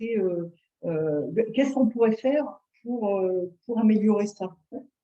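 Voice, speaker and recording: Her pitch sits fairly high as this woman talks at a moderate pace with ordinary pitch variation. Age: 60s. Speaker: acupuncturist. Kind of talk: interview. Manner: hesitant.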